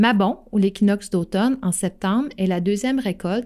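A woman's dark, mellow voice with a Quebec accent, medium pitch and ordinary pitch variation, at a moderate pace, in a very clean recording with a silent background. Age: 40s. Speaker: astrology podcaster. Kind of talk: solo podcast monologue. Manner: hesitant, many fillers.

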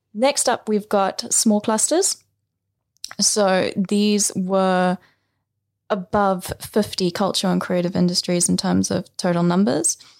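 On a very clean recording with a silent background, a woman speaks at a very slow pace and a medium pitch. Her pitch varies in an ordinary way and her loudness stays very even. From South Africa. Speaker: economic geographer, PhD researcher. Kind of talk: interview.

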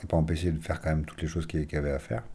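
A man speaks in a dark, mellow tone. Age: 40s. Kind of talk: testimony. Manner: halting, with many repetitions.

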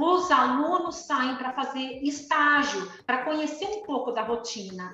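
A woman's high voice at a moderate pace, with audible room echo and music in the background. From Brazil, Campinas (São Paulo state). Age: 40s. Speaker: navy dentist. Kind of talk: interview.

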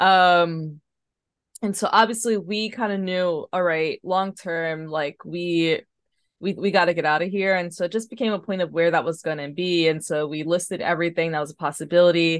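A woman with a New York accent, fairly low pitch, fairly even intonation and moderate pace, against a quiet background. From New York City, Harlem. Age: 30s. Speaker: floral designer and artist. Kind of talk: casual interview chat.

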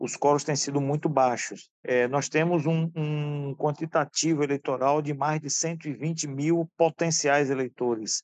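A man with an unremarkable speaking voice and a fairly high pitch talks at a fairly slow pace with hardly any pauses and fairly even intonation, the sound dry and close with no echo. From Brazil, Bahia (Alagoinhas). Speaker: retired oil worker and union candidate. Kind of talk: interview.

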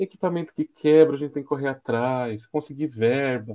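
A man's dark, mellow tone at a moderate pace, with ordinary pitch variation and a dry, close sound with no echo. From São Carlos, São Paulo state, Brazil. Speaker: materials engineer and professor. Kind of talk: casual interview.

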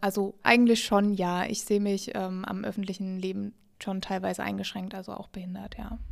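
A woman speaks at a medium pitch with monotone, flat intonation and a moderate pace. Her loudness swings widely. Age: 20s. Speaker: person living with multiple sclerosis. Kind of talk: interview answers.

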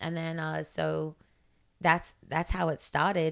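This woman has a very deep, low pitch and an Australian accent. She talks at a fairly slow pace. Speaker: fitness coach. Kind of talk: casual chat.

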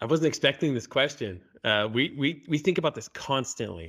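Lively intonation runs through a man's unremarkable speaking voice as he talks at a moderate pace in a very clean recording with a silent background. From Canada. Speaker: software company CEO. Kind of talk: casual interview. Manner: repeats words, restarts sentences.

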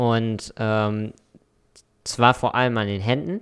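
At a very slow pace, a man speaks in a medium pitch on a very clean recording with a silent background. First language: English and German bilingual (speaking German). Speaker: podcast co-host. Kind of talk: casual chat.

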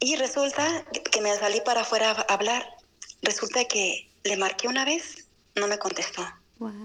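Over noticeable background noise, a woman with a fairly high voice talks at a fairly slow pace with ordinary pitch variation. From Guadalajara, Mexico. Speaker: cloistered nun. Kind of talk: testimony. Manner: halting.

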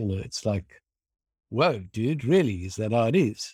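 A man with a medium-pitched, somewhat breathy voice uses lively intonation, captured dry and close with no echo. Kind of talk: casual chat. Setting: video call.

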